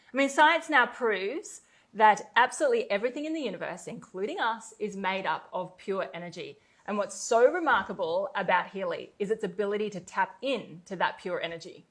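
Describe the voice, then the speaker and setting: A woman with an Australian accent speaks at a fairly high pitch with lively intonation and big swings in loudness. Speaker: network marketer. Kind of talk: sales pitch. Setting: webinar.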